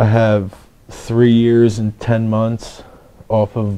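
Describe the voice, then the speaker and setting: Speaking very slowly in a Philadelphia accent, a man keeps a fairly low pitch and flat, monotone intonation. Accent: Philadelphia-area American. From Pennsylvania, Levittown. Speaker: person in addiction recovery. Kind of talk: testimony. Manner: halting.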